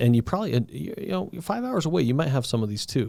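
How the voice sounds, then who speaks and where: At a fairly quick pace, a man with an American accent and a dark, mellow tone speaks with very wide pitch swings. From Southern Colorado. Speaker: podcast host. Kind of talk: casual interview chat. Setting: podcast recording. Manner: halting, many false starts.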